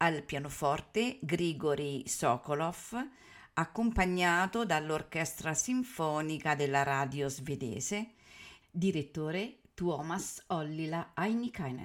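A woman's very deep, low voice at a very slow pace with lively intonation, on a very clean recording with a silent background. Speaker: radio announcer. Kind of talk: formulaic radio announcement introducing a classical concert program. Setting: radio broadcast. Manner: formal, measured, clear.

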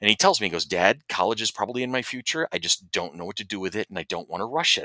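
A man with an American accent talks at a very fast pace in a medium pitch, with very wide pitch swings, vocal fry, and a bright, sharp tone. The recording is dry and close with no echo, very clean over a silent background. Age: 50s. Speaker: podcast co-host. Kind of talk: casual chat.

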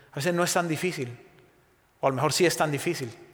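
Fairly quick and with fairly even intonation, a man speaks while audible room echo carries through the recording. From Spain. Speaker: guest preacher. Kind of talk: sermon. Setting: church.

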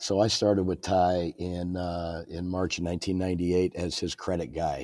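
On a very clean recording with a silent background, a man with a very deep, low voice speaks at a very slow pace with a Midwestern American accent. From Illinois. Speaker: company president. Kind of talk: interview.

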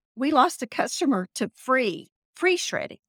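With a Texas accent, a woman speaks at a moderate pace and with lively intonation, in a very clean recording with a silent background and a dry, close sound with no echo. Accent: Texas twang. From Texas Panhandle.

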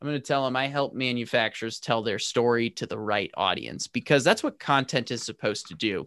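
Against a quiet background, a man with an American accent and a plain, everyday voice talks at a fairly quick pace with hardly any pauses and ordinary pitch variation. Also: medium pitch for a man, dry, close sound with no echo. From US Midwest, St. Louis. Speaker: manufacturing marketing podcaster. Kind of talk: casual interview chat.

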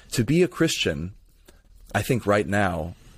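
A man's fairly low voice with an American accent at a moderate pace, in a very clean recording with a silent background. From Florida, Tampa area. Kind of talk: casual interview conversation.

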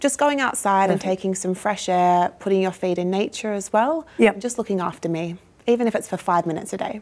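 In a very clean recording with a silent background, a woman with an Australian accent speaks at a medium pitch with ordinary pitch variation. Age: 20s. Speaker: youth mental health ambassador. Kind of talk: interview.

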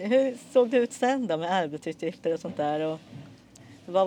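A dark, mellow tone with lively intonation. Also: woman. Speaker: podcast host. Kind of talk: casual interview over lunch; scripted intro narration.

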